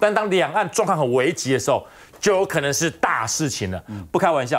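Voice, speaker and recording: Here a man talks at a fairly quick pace with vocal fry. His pitch is fairly high and swings very widely. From Taiwan. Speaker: political commentator. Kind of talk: talk show panel discussion. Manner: animated. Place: studio.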